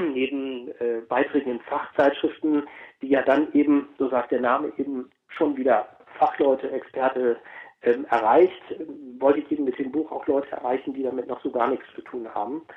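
At a moderate pace and medium pitch, a man speaks with fairly even intonation in a normal speaking voice. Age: 40s. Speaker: chairman of a genealogy association. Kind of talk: interview.

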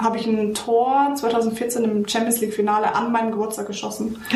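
With a Bavarian accent, a woman speaks at a fairly high pitch amid noticeable background noise and audible room echo. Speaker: former professional footballer. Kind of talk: casual chat. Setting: video call.

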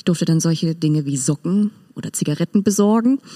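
A woman's dark, mellow voice at a moderate pace, with a dry, close sound and no echo. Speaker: bookseller and music club volunteer. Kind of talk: casual interview.

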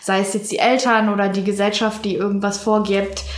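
A woman speaks at a fairly high pitch. Noticeable background noise and audible room echo fill the recording. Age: 20s. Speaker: university student. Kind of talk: casual chat.

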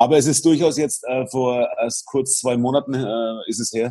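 A man's voice with a dark, mellow tone. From Franconia, Bavaria. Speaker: basketball arena announcer and radio presenter. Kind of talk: casual chat.

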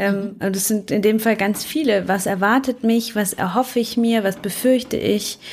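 Noticeable background noise sits behind a woman whose fairly high voice keeps a fairly even intonation. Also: moderate pace, hardly any pauses. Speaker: lawyer, podcast co-host. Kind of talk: casual chat. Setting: video call.

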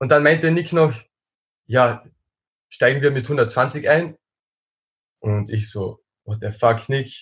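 Speaking at a very slow pace with long, frequent pauses, a man uses a medium pitch, somewhat breathy, with ordinary pitch variation. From Austria. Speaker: strength athlete. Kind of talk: casual chat.

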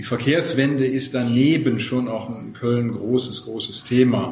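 Music plays behind a man speaking fairly slowly. His intonation is monotone and flat, and the room echo is audible. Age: 60s. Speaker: climate activist volunteer. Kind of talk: interview.

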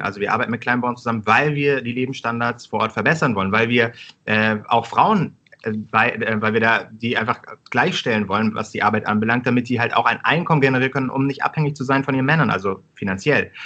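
A man's medium-pitched voice moves at a very fast pace. His pitch varies in an ordinary way. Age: 30s. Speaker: startup co-founder. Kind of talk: interview.

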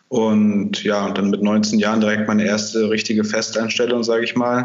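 In a room with audible echo, a man speaks in a fairly low, monotone voice with flat intonation. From northern Germany, Kiel. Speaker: marketing agency founder. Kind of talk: interview.

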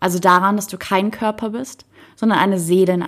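The words come as plain reading aloud, the intonation kept fairly even.

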